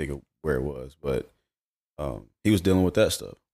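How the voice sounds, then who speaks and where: A man is speaking at a moderate pace. He talks with a Southern US accent. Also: very clean recording, silent background. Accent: US South. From Charlotte, North Carolina. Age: 30s. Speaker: former basketball player. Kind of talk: casual chat.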